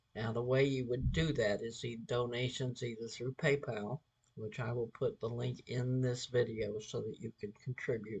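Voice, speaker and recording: Speaking at a moderate pace, a man with a medium pitch sounds somewhat breathy, keeping his intonation fairly even. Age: 60s. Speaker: resume writer and recruiter. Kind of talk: casual monologue appeal. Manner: halting, many fillers.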